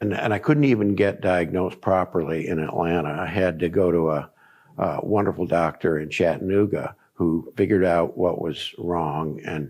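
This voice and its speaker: At a moderate pace, a man with an American accent speaks in a very deep, low pitch with ordinary pitch variation. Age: 70s. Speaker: cancer survivor, former athlete. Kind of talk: testimony. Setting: documentary interview. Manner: halting, many fillers.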